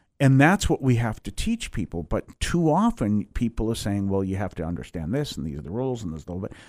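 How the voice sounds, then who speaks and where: A man speaks in an American accent, his pitch swinging very widely. The recording is very clean with a silent background, and the sound is dry and close with no echo. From Massachusetts (Weymouth, near Boston). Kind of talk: interview, life story. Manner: halting, many fillers and restarts.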